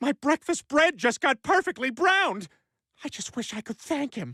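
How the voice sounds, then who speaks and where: A cartoonish character voice speaks at a high pitch and a moderate pace. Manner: blustering, goofy.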